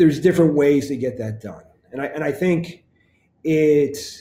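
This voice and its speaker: Fairly high in pitch, a man talks at a moderate pace with ordinary pitch variation. His tone is dark and mellow, and somewhat breathy. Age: 50s. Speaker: financial advisor. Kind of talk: podcast monologue.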